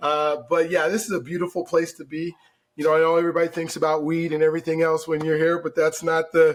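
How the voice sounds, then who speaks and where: Rushing at a very fast pace, a man with an American accent speaks in a monotone, flat intonation at a fairly high pitch. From Colorado, Denver. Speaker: mortgage broker. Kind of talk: podcast interview.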